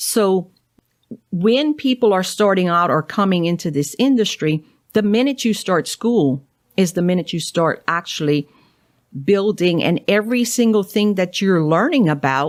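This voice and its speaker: A woman with a strong Cajun accent speaks at a medium pitch and a moderate pace, with lively intonation and very even loudness. The recording is very clean, with a silent background. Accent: thick Cajun. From Louisiana, Cajun. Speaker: naturopathic doctor. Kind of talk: interview.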